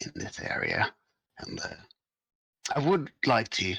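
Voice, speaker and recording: A man puts on a raspy character voice. He talks at a fairly slow pace. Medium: actual play. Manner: polite, formal.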